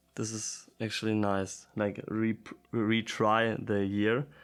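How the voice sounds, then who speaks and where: Music plays in the background behind a man with a German accent. He speaks very slowly at a fairly low pitch. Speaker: language learner vlogger. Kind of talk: casual language practice. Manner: halting.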